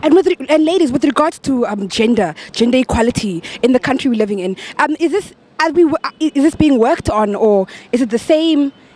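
The speaker has an animated tone at a fairly quick pace. The sound is dry, with no echo. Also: woman, high pitch for a woman. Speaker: street interviewer, show host. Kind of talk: vox pop street interviews. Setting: outdoors. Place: street. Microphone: handheld.

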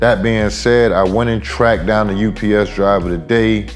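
Male voice, faint music playing behind. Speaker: hobby vlogger. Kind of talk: casual vlog chat. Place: home room.

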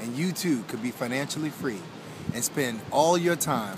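At a moderate pace, a man speaks in a dry sound with no echo, with noticeable background noise. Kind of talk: motivational tip to camera. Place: beach.

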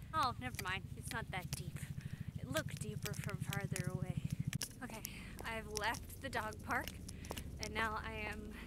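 A woman at a moderate pace with long, frequent pauses, loud background noise, dry sound with no echo. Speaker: vlogger. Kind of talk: casual vlog chat. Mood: playful, cheerful. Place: open country. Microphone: phone near.

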